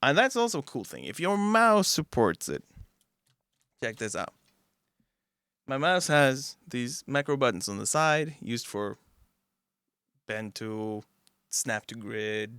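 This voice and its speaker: Against a quiet background, a man with a Norwegian accent speaks at a fairly slow pace in a bright, sharp tone, with very wide pitch swings, big swings in loudness and long, frequent pauses. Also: dry sound with no echo. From Norway. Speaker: music producer. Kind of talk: tutorial. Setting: home studio. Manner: casual. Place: studio. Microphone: studio mic.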